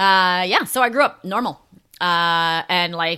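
Heard in a very clean recording with a silent background, a woman with a Canadian accent, a fairly low pitch and a normal speaking voice talks with lively intonation. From Calgary, Alberta, Canada. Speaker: person in addiction recovery. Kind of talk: personal testimony interview.

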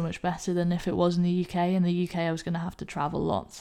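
Recorded very cleanly against a silent background, a woman with a British accent speaks in a dark, mellow tone with monotone, flat intonation. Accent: English (UK). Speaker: rugby player and recruiter. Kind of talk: casual interview chat.

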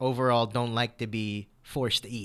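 The man's tone is bright and sharp. He speaks at a fairly slow pace. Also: very clean recording, silent background. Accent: American. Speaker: dating podcast co-host. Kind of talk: casual chat.

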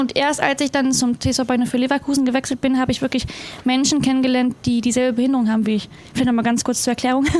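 Over noticeable background noise, a woman talks at a very fast pace with a high pitch. Her loudness stays very even and her intonation is monotone and flat. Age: 20s. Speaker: para athlete. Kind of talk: casual chat.

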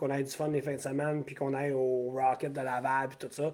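A man's dark, mellow voice with a Quebec accent. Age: 40s. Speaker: former rugby player. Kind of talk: casual chat. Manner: animated.

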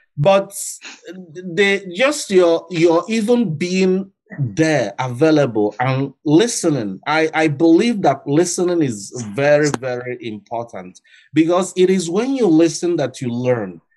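A man with a fairly high voice swings his pitch very widely while talking fairly slowly. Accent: Nigerian. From Nigeria. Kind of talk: recorded interview.

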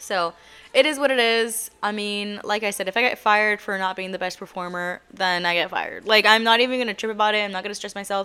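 A bright, sharp tone at a very fast pace, with fairly even intonation. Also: woman, medium pitch for a woman. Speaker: podcast host. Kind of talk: casual monologue. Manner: rambling and halting.

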